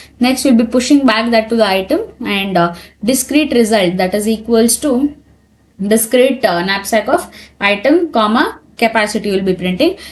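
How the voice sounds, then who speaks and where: Lively in intonation, a woman speaks with a fairly high, somewhat breathy voice at a very even loudness. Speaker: programming tutor. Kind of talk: tutorial. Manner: fast.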